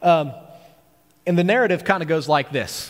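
A man talks at a very fast pace. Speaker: preacher. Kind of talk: sermon. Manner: casual, hesitant with fillers.

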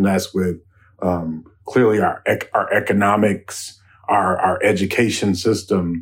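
This man has an ordinary speaking voice with a fairly low pitch. He talks at a fairly slow pace with fairly even intonation. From US Midwest, Chicago South Side. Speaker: filmmaker and community organizer. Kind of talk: discussion on a radio show.

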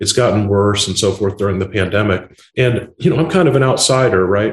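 A man with an American accent talks fairly quickly in a fairly low, somewhat breathy voice. His pitch varies in an ordinary way. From Indiana, US Midwest. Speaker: tech company founder and CEO. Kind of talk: podcast interview.

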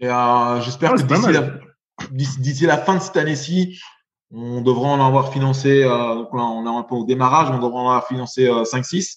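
Here is a man with a plain, everyday voice. His pitch is medium with ordinary variation, and his pace is fairly slow. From Belgium. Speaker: venture capital investor. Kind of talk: interview.

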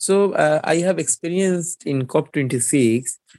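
Speaking very slowly with a Bengali accent, a man has a dark, mellow tone. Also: dry, close sound with no echo. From Bangladesh (Barisal). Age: young. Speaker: climate activist and journalist. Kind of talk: interview conversation.

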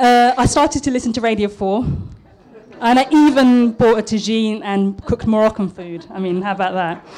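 A woman's fairly high, nervous-toned voice with ordinary pitch variation and a southern English accent, over noticeable background noise. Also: moderate pace. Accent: posh southern English, formerly East London. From East London, Tower Hamlets. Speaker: architect giving a talk. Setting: restaurant talk event. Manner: a bit nervous.

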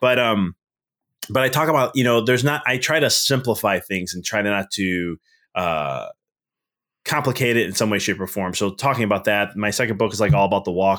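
A man with an American accent and an unremarkable speaking voice talks at a fairly quick pace in a fairly low voice with ordinary pitch variation, on a very clean recording with a silent background. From Chicago area, Melrose Park. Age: 30s. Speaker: business mindset coach and chiropractor. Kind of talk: casual interview.

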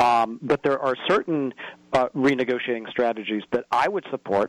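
With an American accent, a man speaks in an ordinary speaking voice at medium pitch and a fairly quick pace, with ordinary pitch variation. The sound is dry and close, with no echo. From US Midwest, northern Indiana. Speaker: advocacy group president. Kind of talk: radio interview.

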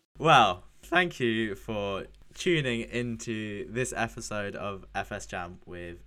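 A man with a British accent speaks very slowly in a fairly low pitch, his tone bright and sharp. His intonation is lively, and his loudness swings widely. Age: 20s. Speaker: podcast host, web developer. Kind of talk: casual interview.

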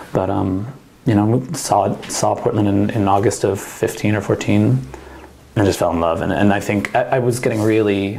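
Man with an American accent, fairly low in pitch, moderate pace and very even loudness, amid audible room echo and noticeable background noise. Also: ordinary pitch variation. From New Jersey. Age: 30s. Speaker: winemaker. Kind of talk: oral history interview. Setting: wine bar.

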